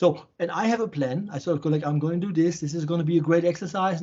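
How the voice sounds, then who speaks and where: Talking at a very fast pace, a man with a German accent has a high pitch and fairly even intonation. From Germany, Offenbach near Frankfurt. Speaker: shaman and healer. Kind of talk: interview conversation. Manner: halting, repetitive starts.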